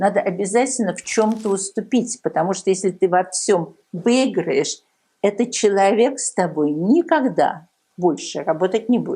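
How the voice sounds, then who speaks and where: A woman's medium-pitched voice, dark and mellow, with lively intonation and a fairly slow pace. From Soviet Union. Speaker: tech entrepreneur. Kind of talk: interview. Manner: hesitant, many fillers.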